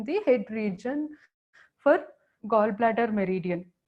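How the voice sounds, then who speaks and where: A woman speaks at a fairly slow pace in a fairly high pitch. Her voice is somewhat breathy. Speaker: acupressure teacher. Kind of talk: lecture.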